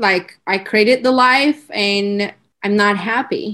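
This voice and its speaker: A woman with a Turkish accent, at a very slow pace. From Turkey. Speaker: branding entrepreneur. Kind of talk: podcast interview, casual chat. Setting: video call, remote.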